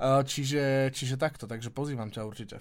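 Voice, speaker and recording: Moving at a moderate pace, a man in a plain, everyday voice keeps a medium pitch and fairly even intonation on a very clean recording with a silent background. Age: 40s. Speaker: businessman and podcast co-host. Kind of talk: casual chat.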